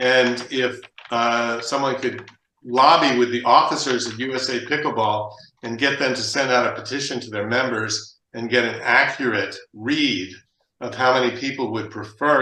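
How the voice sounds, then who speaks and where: With audible room echo, a man talks in a bright, sharp tone and fairly even intonation. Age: 70s. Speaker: sports equipment business owner. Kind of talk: discussion. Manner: halting.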